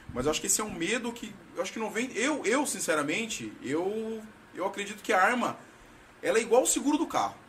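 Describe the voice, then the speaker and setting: Over noticeable background noise, a man with a high pitch speaks at a fairly quick pace in an animated tone. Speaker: podcast host. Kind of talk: casual chat. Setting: studio.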